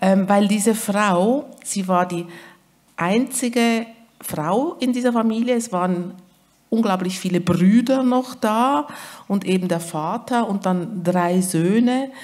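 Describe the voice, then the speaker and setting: A woman with a slight Swiss German accent speaks at a very slow pace. Her pitch is medium, with ordinary variation. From Switzerland. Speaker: author. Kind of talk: literary event conversation.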